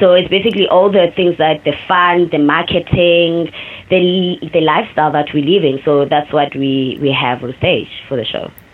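Ordinary pitch variation and a moderate pace from a woman with a fairly low voice, plus noticeable background noise. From South Africa, Cape Town township. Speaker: dancer and choreographer. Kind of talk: interview. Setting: remote call from New York.

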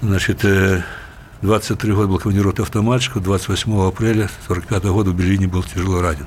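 Over noticeable background noise, a man with a fairly low pitch talks at a fairly quick pace, his loudness very even and his intonation fairly even. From southern Belarus (Kalinkovichi). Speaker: ambassador, former vice-premier. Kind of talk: interview. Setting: studio.

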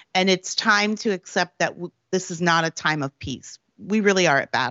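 A woman with an unremarkable speaking voice, medium pitch and ordinary pitch variation. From Canada, Prince Edward Island. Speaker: political commentator and author. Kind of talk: interview.

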